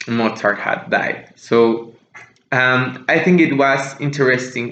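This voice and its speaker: The intonation stays fairly even throughout. Room echo is audible. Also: man. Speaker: music podcast host. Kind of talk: casual monologue podcast. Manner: slower than usual, deliberate; hesitant, many fillers.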